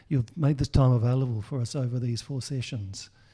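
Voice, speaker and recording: On a very clean recording with a silent background, a man with an Australian accent speaks at a moderate pace in a medium pitch, somewhat breathy, with a dark, mellow tone and ordinary pitch variation. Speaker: podcast host. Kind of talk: interview discussion.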